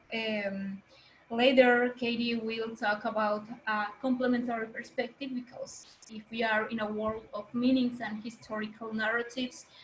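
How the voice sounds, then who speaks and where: A woman talks at a fairly high pitch with monotone, flat intonation. There is noticeable background noise. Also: moderate pace. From Mexico, Maya. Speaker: workshop facilitator and singer. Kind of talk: workshop presentation. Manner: halting, with fillers.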